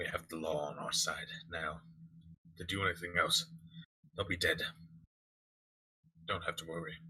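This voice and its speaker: Putting on a character voice, a man sounds raspy at a very deep, low pitch, speaking at a moderate pace with long, frequent pauses. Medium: actual play. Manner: calm, authoritative.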